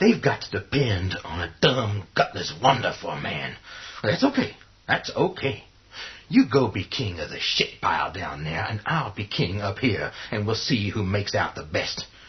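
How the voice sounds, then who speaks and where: A man's put-on character voice at medium pitch. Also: long, frequent pauses. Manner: aggressive, profane.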